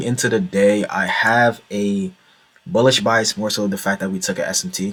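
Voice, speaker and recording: A man's normal speaking voice, fairly low in pitch, with ordinary pitch variation and a moderate pace. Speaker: trading content creator. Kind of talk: casual tutorial.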